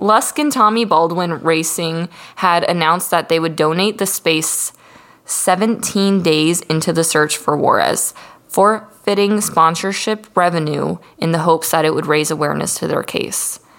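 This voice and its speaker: Noticeable background noise sits behind the recording. A woman speaks in a fairly low pitch at a fairly slow pace. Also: ordinary pitch variation. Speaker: podcast host. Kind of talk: casual, heavy profanity.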